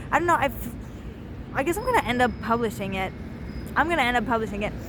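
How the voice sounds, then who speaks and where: Through noticeable background noise and audible room echo, a woman talks at a very fast pace. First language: not English. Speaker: vlogger. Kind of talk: casual vlog monologue. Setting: outdoors on the street. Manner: rambling, filler-heavy casual speech.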